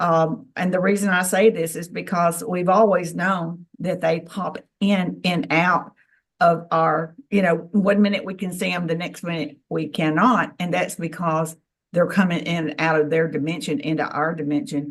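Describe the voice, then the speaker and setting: A woman with an unremarkable speaking voice talks in a fairly low pitch with ordinary pitch variation. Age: 60s. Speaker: ufologist and contactee. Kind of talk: testimony.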